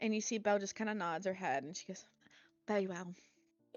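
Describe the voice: Someone reads text plainly aloud. The intonation is fairly even.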